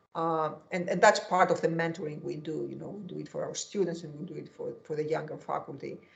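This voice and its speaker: Talking at a very fast pace with hardly any pauses, a woman in a Greek accent shows big swings in loudness. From Greece. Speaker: economics professor. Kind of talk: interview. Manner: halting.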